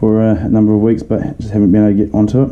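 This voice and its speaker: A man talks with a New Zealand accent and a fairly low pitch. Noticeable background noise runs behind him. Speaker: leather case and sheath maker. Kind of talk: casual product review to camera.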